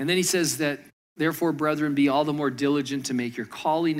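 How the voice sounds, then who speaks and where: The room echo is audible as a man speaks with an American accent. His pace is fairly quick. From Michigan. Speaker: pastor. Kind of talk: sermon.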